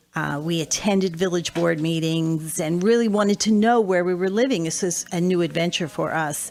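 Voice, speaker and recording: Speaking at a moderate pace with hardly any pauses, a woman uses a fairly low pitch and ordinary pitch variation. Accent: American. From US, southern New Jersey near Atlantic City. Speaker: financial advisor and former mayor. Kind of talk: radio interview. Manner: halting, many fillers.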